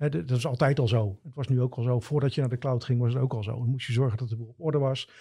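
Somewhat breathy and dark, mellow in tone, a man with a medium pitch speaks at a very fast pace. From Netherlands, Gouda. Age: 50s. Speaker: cloud IT expert. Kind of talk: interview.

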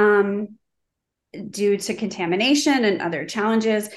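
A woman speaks in a normal speaking voice with ordinary pitch variation. The pace is moderate and the background quiet. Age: 40s. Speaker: skincare brand founder. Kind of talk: interview. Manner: frequent filler 'um'.

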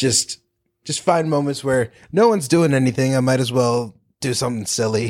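At a moderate pace, a man with an American accent speaks in a normal speaking voice, at a medium pitch with ordinary pitch variation. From North Carolina. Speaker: improv comedian and actor. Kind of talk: casual chat.

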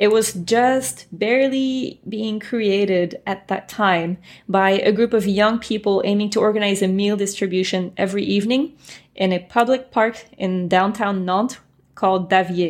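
A woman speaks with a French accent at a medium pitch. Her pace is moderate and her pitch variation ordinary. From France, then US from age 12. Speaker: translator and interpreter. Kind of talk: interview.

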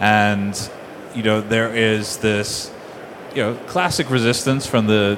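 Fairly low male voice with fairly even intonation, over noticeable background noise. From Bermuda. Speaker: fintech company CEO. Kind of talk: conference panel discussion. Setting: conference stage with audience.

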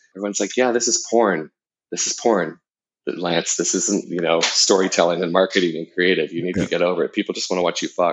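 This man's pitch is very deep and low. He talks at a very fast pace with fairly even intonation. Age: 50s. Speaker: adult content creator and former marketing executive. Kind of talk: interview.

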